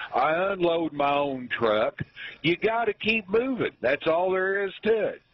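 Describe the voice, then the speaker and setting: At a fairly slow pace, a man speaks with a high pitch and lively intonation. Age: 60s. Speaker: truck driver caller. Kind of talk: call-in comment. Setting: phone call.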